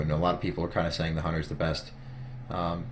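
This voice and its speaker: Somewhat breathy speech comes through with audible room echo. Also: man. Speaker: gaming interviewer. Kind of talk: casual interview.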